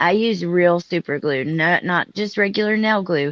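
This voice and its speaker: A woman speaks in an ordinary speaking voice, her pitch fairly low. Her pitch varies in an ordinary way. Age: 30s. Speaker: live stream panel host. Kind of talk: casual chat. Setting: live stream.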